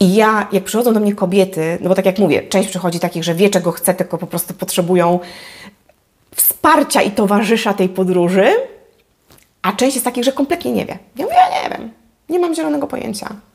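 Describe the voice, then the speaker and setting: A woman's fairly quick, lively-toned speech comes through over a quiet background. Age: 40s. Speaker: life coach. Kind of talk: vlog monologue. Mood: warm, encouraging. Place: home room. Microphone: lapel.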